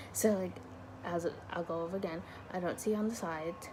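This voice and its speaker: A woman talks quietly at a fairly quick pace in a fairly low pitch. Room echo can be heard around her voice. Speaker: vlogger. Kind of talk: casual chat. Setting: dorm room. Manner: rambling, hesitant.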